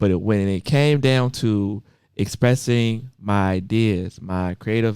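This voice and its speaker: Fairly even intonation marks this man's talk, pitched in the medium range. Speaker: podcast host. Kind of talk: casual chat. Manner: fast when passionate.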